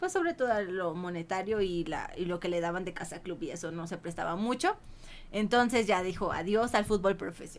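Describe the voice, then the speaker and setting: This woman has a normal speaking voice at a medium pitch, talking at a fairly quick pace with fairly even intonation. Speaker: podcast guest. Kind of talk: casual chat.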